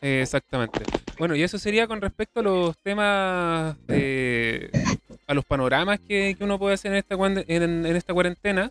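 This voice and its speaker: Speaking at a moderate pace, a man with a Chilean accent has a high pitch and ordinary pitch variation. The sound is dry and close, without echo. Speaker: podcast host. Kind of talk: casual chat.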